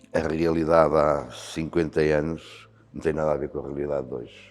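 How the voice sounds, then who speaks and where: This man's voice is very deep and low, with vocal fry. He talks at a moderate pace. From Portugal, Beira Alta (Santa Comba Dão). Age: 60s. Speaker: volunteer fire commander. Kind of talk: interview. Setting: fire station.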